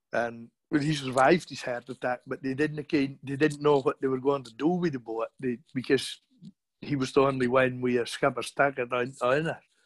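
In a Shetland accent, a man speaks with monotone, flat intonation and big swings in loudness. The sound is dry and close, with no echo. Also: medium pitch for a man, moderate pace. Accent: broad Shetland. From Shetland, island of Burra. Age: 50s. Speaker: fisherman. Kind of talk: casual chat.

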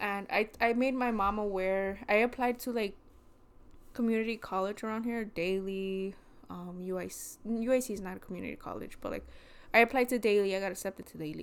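A woman with an American accent has a plain, everyday voice, a medium pitch and fairly even intonation. She talks at a fairly quick pace with big swings in loudness, in a very clean recording with a silent background. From Chicago, Mexican American. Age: 20s. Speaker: podcast co-host. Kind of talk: casual chat.

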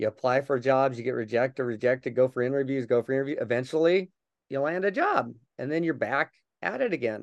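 With an American accent, a man talks at a very fast pace in a medium pitch with ordinary pitch variation, the sound dry and close with no echo. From Colorado, US. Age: 50s. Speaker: motivational speaker and Paralympic runner. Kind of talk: interview.

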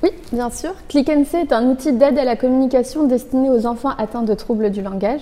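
At a high pitch and a moderate pace, a woman speaks with ordinary pitch variation over noticeable background noise. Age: 20s. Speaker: engineer and app co-founder. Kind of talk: interview. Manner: formal.

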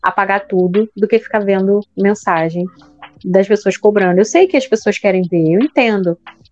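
A woman's voice, dry and close with no echo, over music in the background. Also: very even loudness. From Brazil, Rio de Janeiro. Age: 30s. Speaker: podcast co-host, teacher. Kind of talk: casual chat. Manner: loud.

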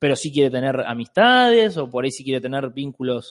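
With lively intonation and a fairly high pitch, a man talks at a fairly quick pace in an ordinary speaking voice, with a dry, close sound with no echo. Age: 30s. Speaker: free love activist. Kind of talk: casual chat.

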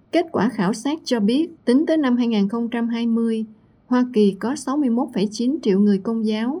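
In a very clean recording with a silent background, a woman speaks at a very slow pace. Her fairly high voice has a dark, mellow tone and ordinary pitch variation. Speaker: radio news presenter. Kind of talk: news reading.

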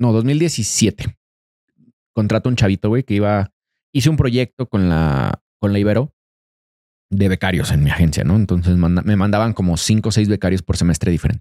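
A man with a Mexican accent speaks at a moderate pace with a fairly low pitch, a dark, mellow tone, lively intonation and very even loudness, on a very clean recording with a silent background and a dry, close sound with no echo. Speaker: podcast host. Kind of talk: casual chat.

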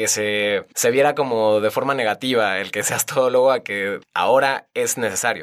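On a very clean recording with a silent background, a man at medium pitch speaks in an animated tone at a moderate pace, with ordinary pitch variation. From Mexico, Querétaro (Tequisquiapan). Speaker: NGO communications director. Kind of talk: casual interview.

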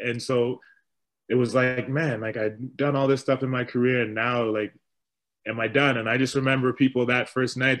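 Moderate pace, monotone, flat intonation, and a Canadian accent. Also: man. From Winnipeg, Manitoba, Canada; Ghanaian parents. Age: 30s. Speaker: retired professional basketball player and youth coach. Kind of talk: interview, casual conversation.

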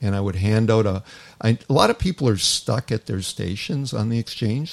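A man with a normal speaking voice talks at a moderate pace, his fairly low pitch showing ordinary pitch variation. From Toronto, Canada. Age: 60s. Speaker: hockey chaplain and former pro hockey player. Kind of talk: casual interview chat.

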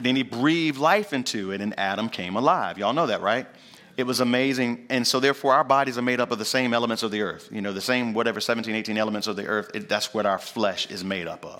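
In an American accent, a man with a medium pitch talks at a very fast pace, using a bright, sharp tone and ordinary pitch variation. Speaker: pastor. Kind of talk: sermon. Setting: church. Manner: animated.

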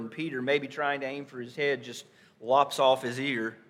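With a North Carolina accent, a man speaks at a fairly high pitch and a moderate pace, his intonation monotone and flat. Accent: Southern US, North Carolina. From Stanley County, North Carolina. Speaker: pastor. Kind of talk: sermon. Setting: church.

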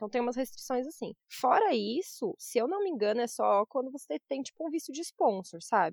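At a fairly quick pace, a high-pitched woman speaks with lively intonation. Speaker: journalist and travel blogger. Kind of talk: casual interview chat.

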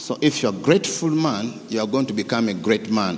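A man's fairly low, fairly quick voice with ordinary pitch variation over music in the background. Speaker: preacher. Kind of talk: sermon; fervent prayer. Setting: church. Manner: fervent; animated.

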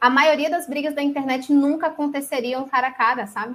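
Her voice is high-pitched with a bright, sharp tone, and the woman speaks at a moderate pace. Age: 20s. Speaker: graphic designer. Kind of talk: casual chat.

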